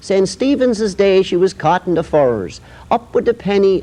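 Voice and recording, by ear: With lively intonation, a person is reading aloud in a natural voice.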